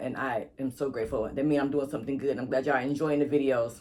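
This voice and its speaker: Using a put-on character voice that is raspy and medium in pitch, a man talks at a very fast pace over light background noise. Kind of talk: casual, grateful YouTuber.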